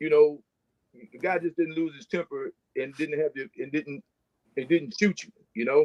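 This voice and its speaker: Recorded dry and close with no echo, a man with a fairly high voice talks at a moderate pace, with ordinary pitch variation, big swings in loudness and long, frequent pauses. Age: 60s. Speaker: firefighter. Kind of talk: panel discussion.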